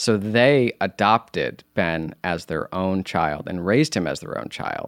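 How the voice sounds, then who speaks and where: A man's very deep, low voice with lively intonation at a fairly slow pace, dry and close with no echo, in a very clean recording with a silent background. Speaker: actor and law student, Star Wars fan. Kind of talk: casual chat.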